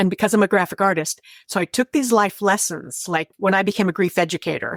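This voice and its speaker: Speaking very fast with very even loudness, a woman with an American accent and a medium pitch is heard in a dry, close sound with no echo on a very clean recording with a silent background. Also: ordinary pitch variation. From California. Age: 70s. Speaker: grief educator. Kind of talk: interview.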